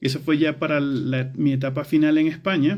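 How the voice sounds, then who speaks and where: With a Venezuelan accent, a man talks at a fairly high pitch. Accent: Latin American (Venezuelan). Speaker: architecture educator. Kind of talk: personal storytelling monologue. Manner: hesitant with filler words and repetitions.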